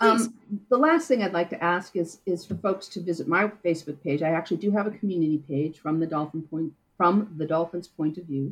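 A woman with an American accent talks at a fairly quick pace in an unremarkable speaking voice. Her pitch is fairly low, with ordinary pitch variation. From US Midwest. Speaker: marine mammal scientist. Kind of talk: interview.

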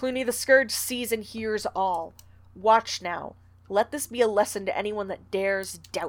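The pitch shifts in an ordinary way. It is plain reading aloud.

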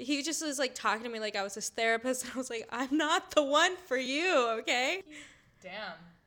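A woman with an American accent speaks in a raised, projected voice at a moderate pace. Her pitch is high and her intonation lively. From Minnesota. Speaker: podcaster, guest storyteller. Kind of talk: storytelling.

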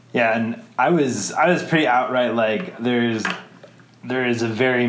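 Over noticeable background noise, a man with an American accent talks at a medium pitch. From Wisconsin, US Midwest. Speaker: adoptee interviewee. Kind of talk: interview. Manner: halting, many fillers.

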